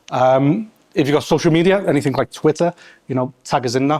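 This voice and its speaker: A man in a Scouse accent talks at a fairly quick pace, with ordinary pitch variation. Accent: Scouse (Liverpool English). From Liverpool, England. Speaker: test lead and meetup host. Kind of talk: event introduction to live audience. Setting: event space with audience. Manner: fast; hesitant, many fillers.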